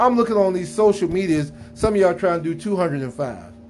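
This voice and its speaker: Over noticeable background noise, a man with an American accent speaks at a moderate pace with lively intonation. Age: 50s. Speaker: podcaster, military veteran. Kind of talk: solo monologue commentary. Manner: casual, conversational.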